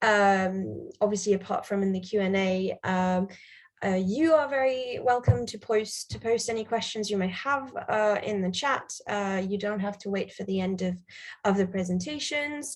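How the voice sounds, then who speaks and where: A woman talks at a moderate pace and a medium pitch, with ordinary pitch variation. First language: not English. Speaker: panel chair. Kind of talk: conference moderation. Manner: hesitant, many fillers.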